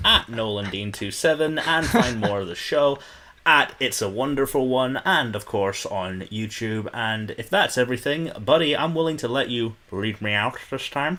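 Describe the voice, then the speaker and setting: There is noticeable background noise behind this man. He speaks with a Scottish accent at a moderate pace. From Scotland. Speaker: film podcast co-host. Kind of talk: casual chat.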